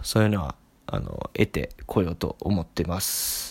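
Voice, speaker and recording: The recording is very clean and the background silent. A man speaks with fairly even intonation at a moderate pace. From Tokyo. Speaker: podcast host. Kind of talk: solo monologue. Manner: many fillers, hesitant.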